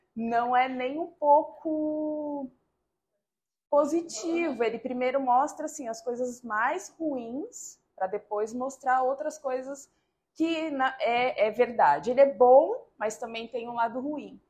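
A woman speaks at a very slow pace with a high pitch and ordinary pitch variation. Her tone is dark and mellow. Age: 40s. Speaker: multiple sclerosis patient and physical educator. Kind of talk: interview testimony.

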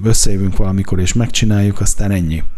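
A man's lively intonation at a fairly quick pace. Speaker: culture journalist. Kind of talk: casual chat about music. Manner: halting.

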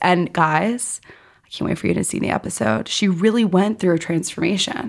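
A woman with an American accent speaks at a fairly quick pace, her fairly low voice showing vocal fry and lively intonation. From New York City. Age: 20s. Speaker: media host and producer. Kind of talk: casual interview chat.

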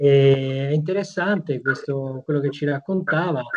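The man's voice sits at a fairly high pitch. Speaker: news editor. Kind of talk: interview. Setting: video call. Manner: formal.

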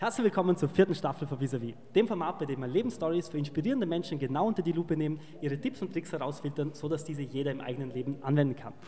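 A man at a very fast pace and fairly high pitch, with lively intonation and noticeable background noise. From Vorarlberg, Austria. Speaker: interview show host. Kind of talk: interview.

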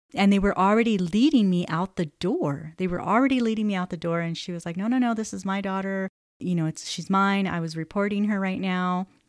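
An ordinary speaking voice moves at a fairly quick pace with hardly any pauses, in a very clean recording with a silent background. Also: woman, medium pitch for a woman, ordinary pitch variation. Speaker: podcast host, mother of five. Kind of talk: personal storytelling monologue.

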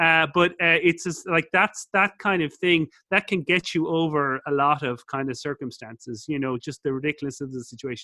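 A man with an Irish accent speaks fairly quickly at a fairly high pitch with a bright, sharp tone, in a very clean, dry, close recording with no echo and a silent background. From Ireland. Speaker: business school professor and entrepreneur. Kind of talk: interview. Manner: fast; animated.

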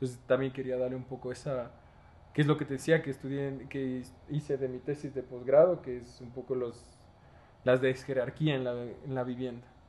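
A man's medium-pitched voice at a moderate pace, with big swings in loudness. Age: 20s. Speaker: architect and university lecturer. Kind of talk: casual interview chat. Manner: animated.

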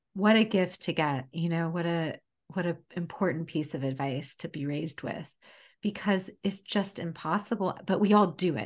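A woman with an American accent has a fairly low pitch and a normal speaking voice. She keeps a moderate pace with ordinary pitch variation. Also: quiet background. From United States. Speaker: chef and food writer. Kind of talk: casual interview chat.

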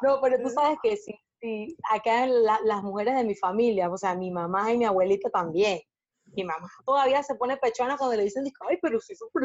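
With lively intonation and a fairly high pitch, a woman talks at a moderate pace. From Panama. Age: 40s. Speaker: body positive activist and blogger. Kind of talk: casual interview chat.

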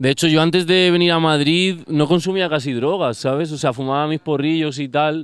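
Fairly slow speech from a man, an unremarkable speaking voice pitched fairly high. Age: 30s. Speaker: music producer. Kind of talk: casual chat.

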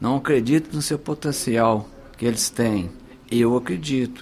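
A man with a medium pitch speaks at a fairly slow pace. His intonation is lively. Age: 50s. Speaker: mayoral candidate. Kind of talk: political radio interview. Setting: radio studio. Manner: animated.

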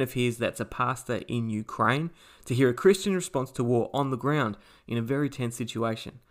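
A man with an ordinary speaking voice, medium pitch and ordinary pitch variation, at a fairly quick pace in a very clean recording with a silent background. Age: 40s. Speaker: podcast host. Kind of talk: casual chat.

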